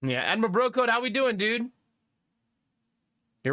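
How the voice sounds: A man speaks with a high pitch and a bright, sharp tone. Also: very clean recording, silent background.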